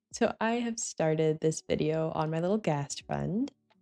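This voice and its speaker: A woman speaks in a relaxed tone with lively intonation. The sound is dry and close with no echo, and music plays in the background. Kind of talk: quiet cozy gameplay commentary. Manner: soft-spoken, relaxed.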